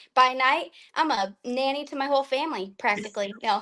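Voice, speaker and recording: High and bright with a sharp tone, a woman's raised, projected voice shows ordinary pitch variation. The background is quiet. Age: 30s. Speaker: stay-at-home mom. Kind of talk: interview.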